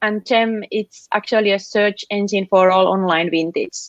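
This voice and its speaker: Speaking with a Finnish accent, a woman talks at a fairly slow pace in a fairly high pitch. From Finland. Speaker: app founder. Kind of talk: interview. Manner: halting, many fillers.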